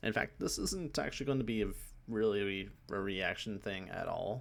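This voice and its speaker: Soft-spoken and fairly low in pitch, a man talks at a moderate pace. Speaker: gaming YouTuber. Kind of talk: video game trailer breakdown commentary. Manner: hesitant, many fillers.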